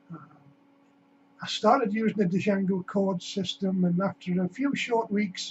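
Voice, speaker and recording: A man's high-pitched voice at a fairly slow pace, fairly even in intonation, with long, frequent pauses. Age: 60s. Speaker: customer. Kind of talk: testimony.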